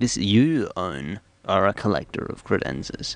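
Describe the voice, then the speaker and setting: A man talks at a very slow pace. He has an Australian accent. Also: quiet background. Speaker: radio host. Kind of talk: comedic radio show. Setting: studio.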